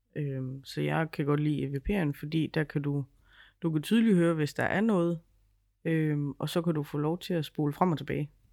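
A woman's very deep, low voice, dark and mellow in tone, with ordinary pitch variation at a moderate pace on a very clean recording with a silent background. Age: 30s. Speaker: podcast co-host, ghost hunter. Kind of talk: casual chat.

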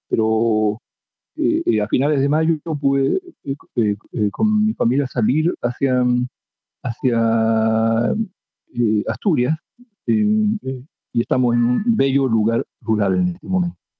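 A man speaks very slowly at a medium pitch with ordinary pitch variation, leaving long, frequent pauses. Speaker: poet and writer. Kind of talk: interview.

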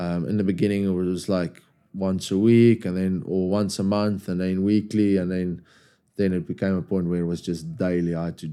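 A man with a South African accent speaks at a very deep, low pitch in a dark, mellow tone with fairly even intonation. The recording is very clean, with a silent background. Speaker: rugby player and club captain. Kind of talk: casual podcast interview.

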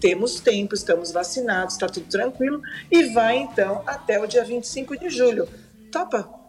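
With music in the background, the speaker uses very wide pitch swings at a moderate pace in a Brazilian accent. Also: woman, fairly high pitch for a woman. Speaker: tourism professional. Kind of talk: casual chat.

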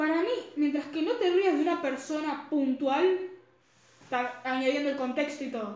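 A woman speaks at a moderate pace with a high pitch. Noticeable background noise and audible room echo surround her voice. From Argentina. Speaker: podcast co-host. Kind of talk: casual chat.

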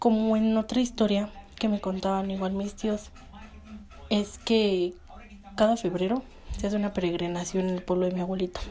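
With noticeable background noise behind her, a woman speaks at a moderate pace and medium pitch in a monotone, flat intonation, with long, frequent pauses. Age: 20s. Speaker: podcast host and university student. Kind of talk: storytelling.

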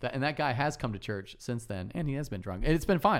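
A man with an American accent, very fast pace and very wide pitch swings. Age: 40s. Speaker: pastor. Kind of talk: casual chat. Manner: animated.

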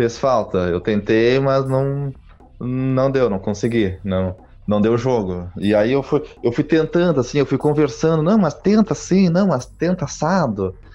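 Spoken with a southern Brazilian accent, this dark, mellow voice moves at a fairly slow pace while its pitch swings very widely. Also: man, medium pitch for a man, very even loudness. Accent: gaúcho Brazilian Portuguese. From southern Brazil (Rio Grande do Sul). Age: 20s. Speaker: podcast co-host, advertising professional. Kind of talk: casual chat.

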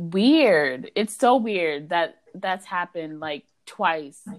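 This woman has a plain, everyday voice. Her pitch sits fairly low and varies in an ordinary way. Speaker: student club president and podcast host. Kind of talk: casual chat.

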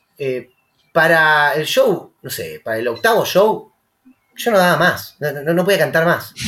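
A high-pitched man's bright, sharp voice with an Argentine accent, lively intonation and a fairly slow pace. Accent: Rioplatense Argentine Spanish. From Rosario, Argentina. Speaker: musician. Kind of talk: casual chat.

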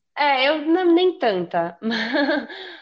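The speaker is a woman. She moves her pitch up and down over a very broad range. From São Paulo state, Brazil (São Paulo city and Taubaté). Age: 20s. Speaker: podcast guest. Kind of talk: casual chat.

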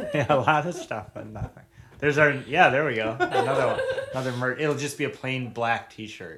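Over noticeable background noise, a man with a fairly high pitch and ordinary pitch variation talks at a fairly quick pace, his loudness swinging widely. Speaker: podcast host. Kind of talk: casual chat.

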